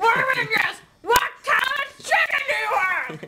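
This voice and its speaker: Shouting in a cartoonish character voice, the speaker hits an extremely high pitch at a moderate pace. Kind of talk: comedy puppet sketch. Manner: whiny, demanding.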